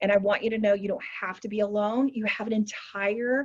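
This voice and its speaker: Somewhat breathy, a woman talks at a fairly quick pace in a fairly high pitch. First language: American Sign Language. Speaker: community organizer / workshop host. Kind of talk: online workshop presentation. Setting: video call.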